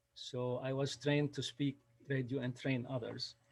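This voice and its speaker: A man with a Lebanese accent, fairly high pitch, and a very slow pace. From Lebanon. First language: Arabic (Lebanese). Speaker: storyteller. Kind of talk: storytelling. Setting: video call. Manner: halting.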